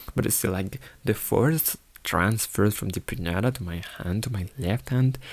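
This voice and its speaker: His voice is somewhat breathy and fairly low in pitch. The man keeps a moderate pace and lively intonation. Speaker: amateur artist vlogger. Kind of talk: reading a script aloud. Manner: halting, stammering.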